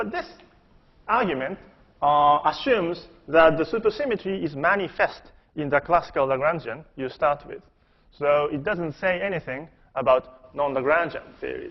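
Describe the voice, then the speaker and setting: Speaking at a moderate pace, a man with a fairly high voice shows ordinary pitch variation and takes long, frequent pauses. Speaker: physicist giving conference talk. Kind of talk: lecture.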